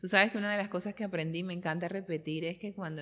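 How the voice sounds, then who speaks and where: A woman speaks in an ordinary speaking voice, pitched fairly low. Her intonation stays fairly even. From Colombia. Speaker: interviewer, journalist. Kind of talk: casual interview conversation.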